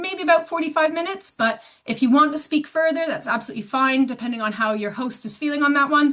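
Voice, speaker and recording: Fairly quick delivery with a Canadian accent, ordinary pitch variation and a bright, sharp tone. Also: woman. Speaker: sports organisation staff member. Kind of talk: online meeting facilitation.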